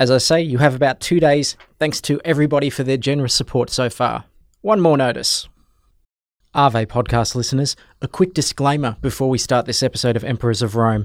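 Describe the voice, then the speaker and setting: In a very clean recording with a silent background and a dry, close sound with no echo, a man with an Australian accent talks at a fairly quick pace, with a medium pitch and ordinary pitch variation. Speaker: podcast host. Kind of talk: podcast interview with scripted intro.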